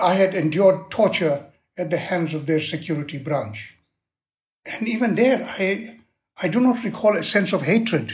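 In a very clean recording with a silent background, a man talks at a high pitch with lively intonation. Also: moderate pace. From South Africa. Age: 80s+. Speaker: former freedom fighter and negotiator. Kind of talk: interview.

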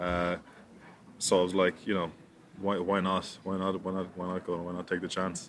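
A man with an Irish accent speaks in a very deep, low pitch. His intonation is monotone and flat, with long, frequent pauses. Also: moderate pace. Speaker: professional rugby player. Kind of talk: interview. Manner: halting, many repetitions.

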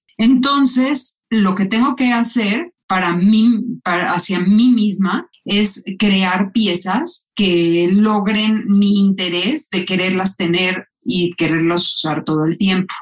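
A woman speaks at a very slow pace with hardly any pauses, her medium-pitched voice somewhat breathy and her pitch varying in an ordinary way. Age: 50s. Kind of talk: interview.

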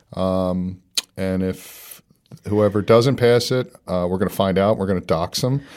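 A man with an American accent talks at a fairly slow pace, his very deep, low pitch showing ordinary variation. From United States. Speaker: winemaker and podcast host. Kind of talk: casual chat.

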